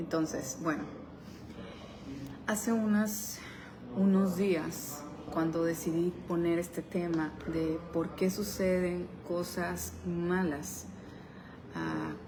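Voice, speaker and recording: A soft-spoken woman at a fairly low pitch and a very slow pace, with fairly even intonation, long, frequent pauses, audible room echo, and noticeable background noise. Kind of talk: devotional talk.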